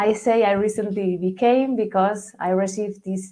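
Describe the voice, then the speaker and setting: With a Spanish accent, a woman speaks at a fairly slow pace and medium pitch, varying it in an ordinary way, in a dark, mellow tone. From Spain. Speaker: mobile app marketer. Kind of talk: interview. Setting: radio show.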